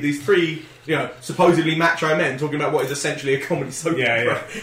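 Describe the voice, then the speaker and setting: Over noticeable background noise and audible room echo, a man talks very fast in a high voice with ordinary pitch variation. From Wales. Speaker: podcast co-host. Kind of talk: casual chat. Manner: animated.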